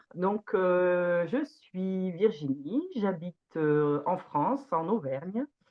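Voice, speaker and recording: Moving at a very slow pace yet with hardly any pauses, a woman speaks at a medium pitch with lively intonation. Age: 40s. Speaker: organic farmer. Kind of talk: testimony. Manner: hesitant, many fillers.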